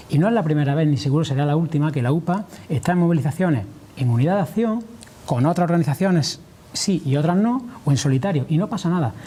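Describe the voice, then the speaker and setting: Very fast speech comes from a man with a fairly high pitch. His loudness stays very even. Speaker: farmers' union leader. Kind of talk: TV interview answer.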